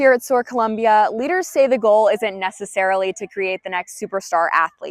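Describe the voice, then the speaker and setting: A woman with an American accent speaks in an ordinary speaking voice, fairly high-pitched, with lively intonation at a fairly quick pace and hardly any pauses. The sound is dry and close with no echo, over a quiet background. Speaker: student reporter. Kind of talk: TV news reporter delivery.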